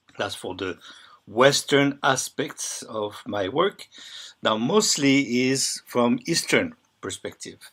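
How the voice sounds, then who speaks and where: A man with a French accent at a medium pitch, very slow pace, lively intonation and big swings in loudness. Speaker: bodywork healer and teacher. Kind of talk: reading aloud a presentation. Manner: halting.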